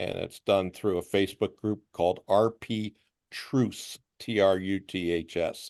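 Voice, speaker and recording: An ordinary speaking voice comes from a man at a fairly low pitch with ordinary pitch variation. The sound is dry and close with no echo, over a quiet background. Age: 60s. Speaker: visually impaired traveler. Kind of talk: group chat introduction.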